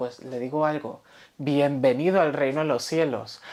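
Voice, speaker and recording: A woman speaks at a moderate pace in a very deep, low voice, recorded very cleanly against a silent background. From Spain, Valencia. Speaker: pastor. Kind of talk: sermon.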